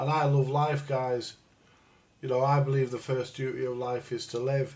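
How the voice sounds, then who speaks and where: A man's medium-pitched, somewhat breathy voice with a northern English accent, monotone, flat intonation and a moderate pace. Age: 60s. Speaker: livestreamer. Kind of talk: casual chat. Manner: halting, repetitive.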